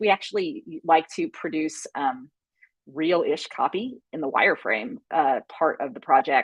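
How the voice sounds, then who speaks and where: A woman with an unremarkable speaking voice, lively intonation and moderate pace, in dry, close sound with no echo. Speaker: content strategy director. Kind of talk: live webinar workshop.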